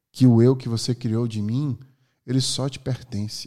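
Over a silent background on a very clean recording, a man with a dark, mellow tone speaks at a moderate pace with medium pitch and fairly even intonation. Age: 30s. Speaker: podcast host. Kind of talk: monologue.

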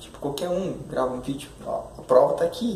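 A man speaks fairly quickly, with noticeable background noise and audible room echo in the recording. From Curitiba, southern Brazil. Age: 20s. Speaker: YouTuber / motivational speaker. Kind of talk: motivational monologue to camera. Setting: recorded video. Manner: halting, many fillers.

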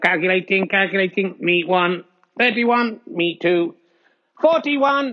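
The man's put-on character voice is high-pitched. His delivery is very slow.

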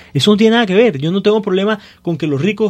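A man at a very fast pace with lively intonation, music in the background. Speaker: city council candidate. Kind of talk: radio panel discussion.

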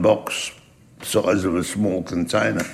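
The man talks at a very slow pace. Each word takes its time. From Australia. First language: German. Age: 80s. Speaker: Holocaust survivor and community elder. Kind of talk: oral history storytelling.

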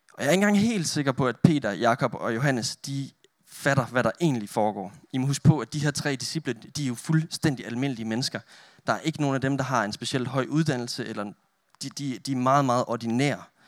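A plain, everyday voice from a man, medium in pitch with ordinary variation, at a fairly quick pace, dry and close with no echo in a very clean recording with a silent background. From northern Denmark. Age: 20s. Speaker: youth pastor and photographer. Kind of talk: sermon with prayer. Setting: church with audience.

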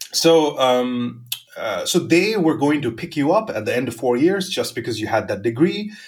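The man's voice is somewhat breathy. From India, Mumbai. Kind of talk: casual interview chat.

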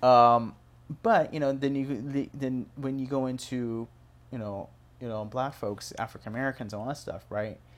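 On a very clean recording with a silent background, a man with an ordinary speaking voice and medium pitch talks at a moderate pace with fairly even intonation. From Chinese American, transplant to Phoenix. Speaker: podcast host and music producer. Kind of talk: casual interview chat. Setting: studio.

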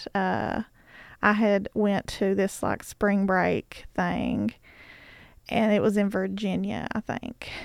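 A woman with an Appalachian accent at a very slow pace, dry and close with no echo, on a very clean recording with a silent background. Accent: Appalachian American. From eastern Kentucky, Bell County. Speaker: arts organization worker. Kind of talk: casual reminiscence.

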